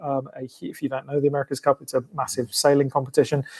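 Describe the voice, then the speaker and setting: This man has an English accent and a fairly high pitch, recorded with a dry, close sound and no echo. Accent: English accent, often mistaken for Australian. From England. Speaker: sports team public relations executive. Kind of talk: podcast interview. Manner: hesitant, many fillers.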